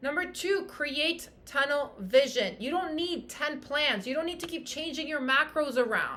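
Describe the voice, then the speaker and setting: In a room with audible echo, a woman projects a high, bright, sharp voice with lively intonation and an animated, passionate tone at a fairly slow pace. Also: hardly any pauses. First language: French. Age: 30s. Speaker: fitness coach and podcast host. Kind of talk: motivational podcast monologue.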